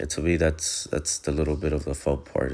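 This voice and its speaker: This man speaks in a very deep, low voice with vocal fry. His intonation is flat and monotone. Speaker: appliance repair technician. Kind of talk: tutorial. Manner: casual, hesitant with many fillers.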